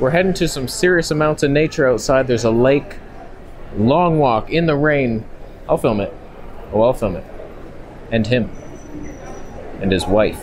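Over faint background noise, a man with a medium pitch and a slightly mellow tone speaks at a fairly slow pace, with lively intonation and long, frequent pauses.

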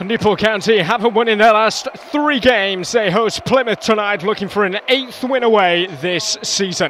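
A man speaks in an animated tone with high pitch, ordinary pitch variation and hardly any pauses. Noticeable background noise runs under him. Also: moderate pace. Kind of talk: live match commentary. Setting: football stadium match broadcast. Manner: animated, excitable, rising pitch on goals.

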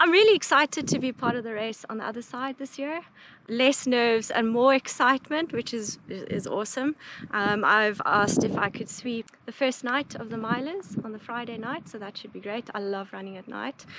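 Noticeable background noise sits behind a woman talking at a moderate pace. Her pitch varies in an ordinary way, and the sound is dry with no echo. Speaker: mountain guide. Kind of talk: interview answer. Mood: excited, upbeat. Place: open country.

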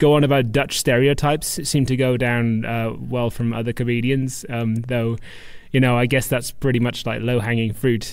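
With a Welsh accent, a man speaks at a moderate pace and medium pitch, keeping his intonation fairly even. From Wales. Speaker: stand-up comedian. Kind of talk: podcast interview answer.

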